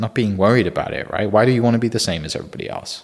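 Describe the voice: A man talks at a very fast pace with an American accent and lively intonation. His fairly low voice has vocal fry and a slightly husky edge.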